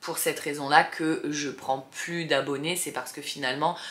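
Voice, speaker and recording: This woman's voice sits very deep and low, and her intonation stays fairly even. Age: 30s. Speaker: vlogger, single mother. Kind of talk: casual chat to camera. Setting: bedroom, sitting on bed. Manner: hesitant, many fillers.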